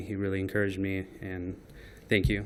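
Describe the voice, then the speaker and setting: A man's fairly low voice at a moderate pace, with audible room echo. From Moldova. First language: Russian. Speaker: new police officer. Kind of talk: swearing-in remarks. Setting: council meeting. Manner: halting.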